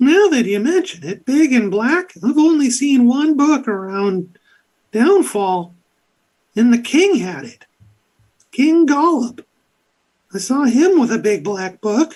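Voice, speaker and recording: A put-on character voice with a fairly high pitch moves at a fairly slow pace, broken by long, frequent pauses. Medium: actual play. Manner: casual, rambling, hesitant.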